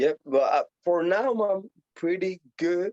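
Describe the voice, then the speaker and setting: Dry and close with no echo, a man's dark, mellow voice comes through. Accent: Puerto Rican. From Puerto Rico. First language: Spanish. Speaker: professional boxer. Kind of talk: interview.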